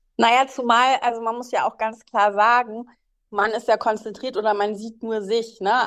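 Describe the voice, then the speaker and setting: Flat and monotone, a woman's fairly high voice goes at a moderate pace. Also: quiet background. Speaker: podcast co-host. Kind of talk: casual chat.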